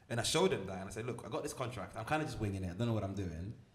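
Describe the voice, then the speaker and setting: Room echo is audible around the man. His intonation is lively. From Milan, Italy. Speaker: motivational speaker and entrepreneur. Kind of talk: podcast interview. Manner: confident, articulate.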